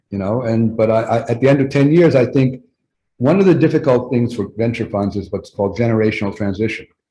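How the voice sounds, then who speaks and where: Somewhat breathy, with a dark, mellow tone, a man speaks at a very fast pace with ordinary pitch variation. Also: medium pitch for a man. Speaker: venture capital investor. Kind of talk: interview. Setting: webinar video call.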